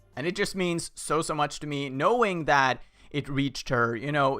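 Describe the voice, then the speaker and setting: A man with a fairly high voice speaks at a moderate pace over music in the background. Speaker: fan video creator and voice actor. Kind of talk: casual talk to camera.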